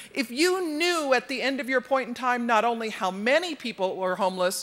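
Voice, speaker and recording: Very wide pitch swings mark speech at a moderate pace on a very clean recording with a silent background. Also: woman. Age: 60s. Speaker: homelessness campaign organizer. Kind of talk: conference talk.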